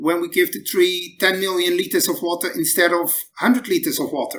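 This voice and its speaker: Moderate pace with a Dutch accent. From Netherlands. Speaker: battery scientist. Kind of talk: interview.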